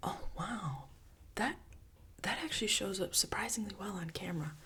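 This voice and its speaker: Someone is whispering. The pace is moderate. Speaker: ASMR creator. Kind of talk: ASMR whisper rambling. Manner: whispered; casual, rambling.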